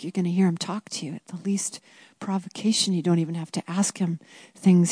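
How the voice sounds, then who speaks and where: A woman's somewhat breathy, dark and mellow voice at a medium pitch, monotone and flat, against a quiet background. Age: 50s. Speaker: women's Bible study teacher. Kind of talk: teaching talk.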